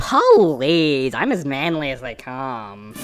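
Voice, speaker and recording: A put-on character voice, low-to-middle in pitch, at a very slow pace. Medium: audio drama. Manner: slow, bewildered.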